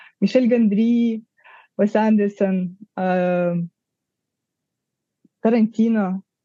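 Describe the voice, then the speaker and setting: Her voice is dark and mellow at a medium pitch, and the woman speaks in a flat monotone. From Kazakhstan. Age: 30s. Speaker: cinematographer. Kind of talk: interview conversation. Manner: halting, many fillers.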